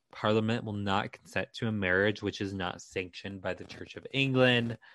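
At a moderate pace, a man speaks in an unremarkable speaking voice with fairly even intonation. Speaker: podcast co-host, documentary worker. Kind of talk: casual chat, history storytelling.

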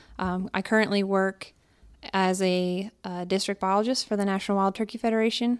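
Medium-pitched woman with an American accent, monotone, flat intonation, and a very clean recording with a silent background. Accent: Pennsylvania with slight Southern drawl. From Pennsylvania. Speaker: wildlife biologist. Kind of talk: casual interview.

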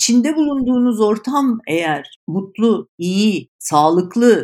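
Speaking at a very slow pace, a woman makes very wide pitch swings. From Istanbul, Turkey. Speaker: communications agency founder. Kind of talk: interview.

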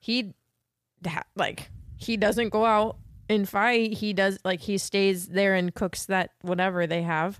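On a very clean recording with a silent background, a woman with an unremarkable speaking voice talks at a medium pitch and a fairly slow pace, with fairly even intonation and very even loudness. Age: 20s. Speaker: podcast co-host, movie reviewer. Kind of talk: casual chat.

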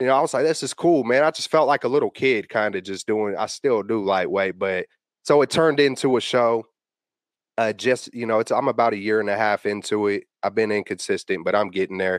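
A man with an American accent speaks at a fairly quick pace, medium in pitch with ordinary pitch variation. The sound is dry and close with no echo, over a quiet background. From San Francisco Bay Area. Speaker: podcaster and sports fan. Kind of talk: casual chat. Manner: animated.

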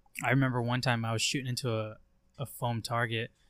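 At a fairly quick pace, a man speaks in a medium pitch with monotone, flat intonation. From Eastern Oregon, US. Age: 20s. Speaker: hunting content creator. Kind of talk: casual chat.

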